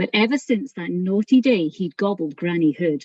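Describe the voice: A plain reading aloud, delivered with lively intonation.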